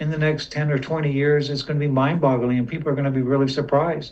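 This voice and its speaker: There is audible echo in the room. A man talks in a fairly high, somewhat breathy voice. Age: 60s. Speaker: community member asking questions. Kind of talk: casual chat.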